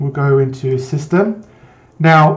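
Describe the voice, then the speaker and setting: A man speaks in a somewhat breathy voice. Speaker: IT tutorial presenter. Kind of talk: screen-recorded tutorial. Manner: fast; hesitant, with fillers and restarts.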